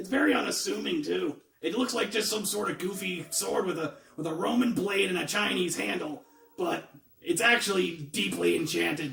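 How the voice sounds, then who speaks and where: In a put-on character voice, a man speaks raspy and high at a moderate pace. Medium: game stream.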